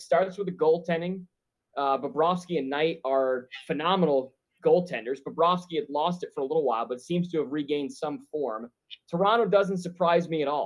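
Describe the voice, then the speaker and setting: With a plain, everyday voice, a man speaks at a moderate pace, fairly high in pitch and lively in intonation. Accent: American. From Buffalo, western New York. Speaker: sports betting analyst, hockey expert. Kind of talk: casual sports chat.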